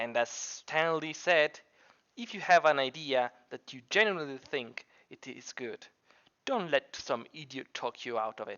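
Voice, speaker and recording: A speaker with a non-native accent talks at a fairly slow pace. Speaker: computer science student; Minecraft builder. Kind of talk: scripted tutorial narration.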